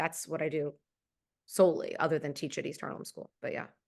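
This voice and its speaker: A woman with ordinary pitch variation against a quiet background. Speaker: actress and voice actor. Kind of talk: interview. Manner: articulate, theatrical.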